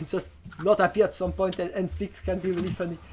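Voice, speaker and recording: A woman with a French accent talks at a fairly quick pace, her medium-pitched voice fairly even in intonation, against noticeable background noise. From France. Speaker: esports talk show host and caster. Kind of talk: live game commentary. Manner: halting, many fillers.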